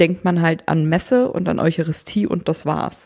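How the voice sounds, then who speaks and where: A woman with a plain, everyday voice, fairly low in pitch, with ordinary pitch variation. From northwest Germany, Emsland. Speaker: podcast co-host. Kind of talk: casual chat.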